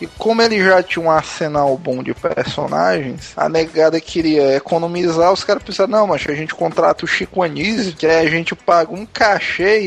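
Ordinary pitch variation at a moderate pace with hardly any pauses, against noticeable background noise. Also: man. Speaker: podcast co-host. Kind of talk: casual chat.

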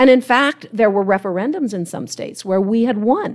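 A woman with a US Midwestern accent talks at a fairly quick pace, her medium pitch carrying lively intonation. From Ohio, US Midwest. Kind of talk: panel talk before a live audience. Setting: conference stage with live audience.

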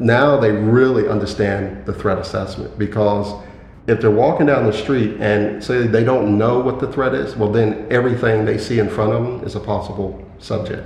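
Over noticeable background noise and audible room echo, a man talks at a moderate pace in a fairly low pitch with ordinary pitch variation. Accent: American. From US, Philadelphia. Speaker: security specialist and trainer. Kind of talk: casual interview.

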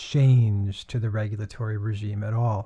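In a very clean recording with a silent background, a man talks at a moderate pace, his voice dark, mellow and somewhat breathy. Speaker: law lecturer. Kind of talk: lecture. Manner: formal, explanatory.

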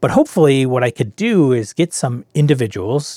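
A man has an ordinary speaking voice at a medium pitch. The sound is dry and close with no echo, in a very clean recording with a silent background. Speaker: podcast host and game master. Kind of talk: solo podcast intro and show pitch. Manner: informal, conversational, self-deprecating.

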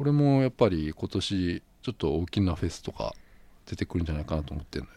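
A man with a very deep, low pitch and a dark, mellow tone, very fast, with very wide pitch swings and a dry, close sound with no echo. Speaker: podcast host. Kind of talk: casual chat.

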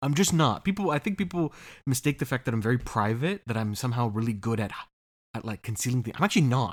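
A man with an American accent talks at a very fast pace. His intonation is lively. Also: medium pitch for a man, very clean recording, silent background. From US. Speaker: podcast co-host. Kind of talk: casual chat.

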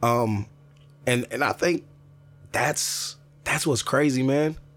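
A man's medium-pitched voice with ordinary pitch variation, music playing in the background. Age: 30s. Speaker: strength and conditioning coach. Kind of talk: interview. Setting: camper studio. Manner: halting.

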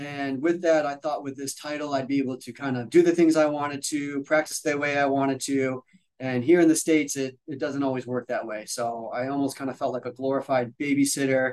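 A man speaks at a fairly quick pace and a fairly high pitch, monotone and flat, with hardly any pauses. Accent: Midwestern. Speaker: physical therapist and educator. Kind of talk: casual interview chat. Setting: video call. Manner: fast.

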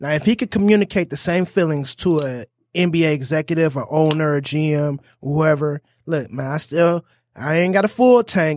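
A fairly high-pitched man with ordinary pitch variation, in a very clean recording with a silent background and a dry, close sound with no echo. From Southfield, Michigan (Detroit area). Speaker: podcast co-host. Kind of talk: casual chat.

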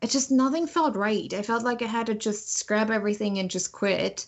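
Speaking with a German accent, a woman uses a fairly high pitch and fairly even intonation. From Germany. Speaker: author and motivational speaker. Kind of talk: interview.

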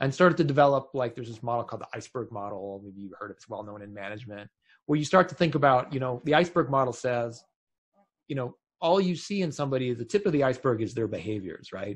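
A man with a medium pitch talks at a very fast pace, his somewhat breathy voice full of lively intonation and big swings in loudness. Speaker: tech consultant, former engineering director. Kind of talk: interview conversation.

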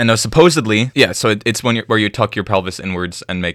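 A man with a plain, everyday voice talks at a moderate pace and a fairly low pitch, with ordinary pitch variation and a dry, close sound with no echo. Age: 20s. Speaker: campus radio podcast host. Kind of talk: casual educational chat.

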